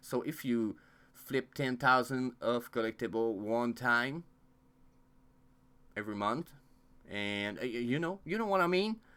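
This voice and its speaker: Over a very clean recording with a silent background, a man with a non-native accent and medium pitch speaks at a fairly slow pace in a bright, sharp tone, with lively intonation and long, frequent pauses. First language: not English. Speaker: crypto YouTuber. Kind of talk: casual vlog monologue. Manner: halting, many fillers.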